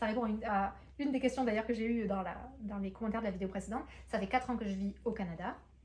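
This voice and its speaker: Somewhat breathy and dark, mellow in tone, a woman's fairly high voice shows ordinary pitch variation. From France. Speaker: booktuber and entrepreneur. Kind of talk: vlog monologue. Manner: hesitant, many fillers.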